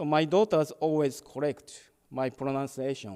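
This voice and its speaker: A man speaks with a Japanese accent in a dark, mellow tone. His pace is fairly slow. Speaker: Buddhist minister. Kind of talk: dharma talk. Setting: temple service, hybrid in-person and online.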